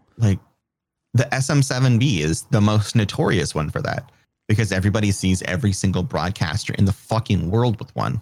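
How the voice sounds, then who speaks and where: Somewhat breathy and fairly low in pitch, a man speaks at a fairly quick pace with lively intonation. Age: 30s. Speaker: streamer and podcaster. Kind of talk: casual chat.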